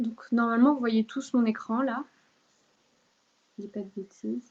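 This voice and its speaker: A woman's fairly high pitch at a fairly slow pace, with fairly even intonation. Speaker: law speaker giving a talk. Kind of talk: online lecture with slides. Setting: video call. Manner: hesitant, many fillers.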